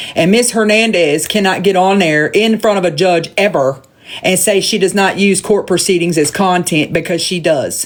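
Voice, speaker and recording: A woman talks with a Southern US accent at a medium pitch. Noticeable background noise runs underneath. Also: ordinary pitch variation, moderate pace, very even loudness. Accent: Southern twang. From US South. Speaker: live streamer. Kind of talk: rant. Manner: animated.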